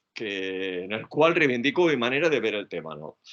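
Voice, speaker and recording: The pitch moves in very wide swings at a moderate pace. Vocal fry runs through the voice. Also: man. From Spain. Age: 70s. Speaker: psychology professor. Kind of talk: lecture.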